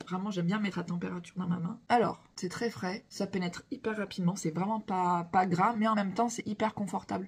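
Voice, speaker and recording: A woman speaks at a medium pitch and a fairly quick pace. Her voice is somewhat breathy. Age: 40s. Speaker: beauty product seller / vlogger. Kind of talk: product demo vlog. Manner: animated.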